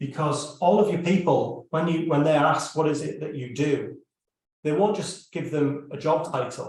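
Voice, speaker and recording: Somewhat breathy delivery at a moderate pace, with fairly even intonation. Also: man. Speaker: business consultant. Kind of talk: live stream presentation. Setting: live stream video call.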